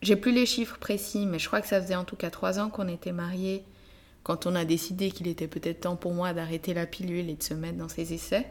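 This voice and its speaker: At a fairly quick pace, a woman with fairly low pitch and fairly even intonation speaks in a plain, everyday voice. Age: 30s. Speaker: podcast host. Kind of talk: interview conversation with spouse.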